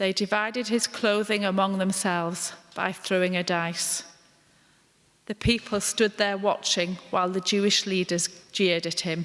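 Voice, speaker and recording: An ordinary speaking voice, a woman's at a medium pitch, moves at a moderate pace with fairly even intonation. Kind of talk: dramatised scripture reading, narrator part.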